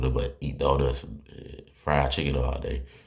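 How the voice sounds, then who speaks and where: There is noticeable background noise behind a man with a very deep, low pitch. He talks at a fairly quick pace with monotone, flat intonation. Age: 20s. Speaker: sports commentary youtuber. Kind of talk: casual monologue. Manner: rambling conversational.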